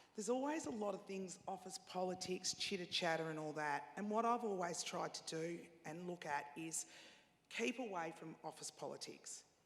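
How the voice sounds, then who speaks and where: Speaking at a moderate pace with an Australian accent, a woman uses a medium pitch and ordinary pitch variation. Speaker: panelist, radio executive. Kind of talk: panel discussion. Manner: loud and chatty.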